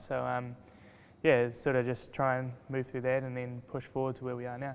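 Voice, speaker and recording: Speaking with a New Zealand accent, a man holds a medium pitch in monotone, flat intonation. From New Zealand, Rotorua. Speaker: race car driver. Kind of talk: interview. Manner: hesitant, many fillers.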